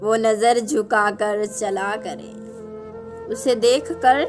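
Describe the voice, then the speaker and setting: Over music in the background, a woman speaks in a sad tone with fairly high pitch. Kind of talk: poetry reading. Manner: sad, emotional.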